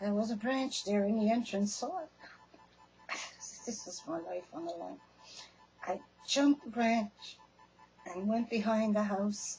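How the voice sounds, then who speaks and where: With music in the background, a woman talks at a fairly slow pace, with long, frequent pauses and big swings in loudness. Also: ordinary pitch variation. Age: 60s. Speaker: storyteller sharing personal experience. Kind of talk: personal testimony. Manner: casual, halting.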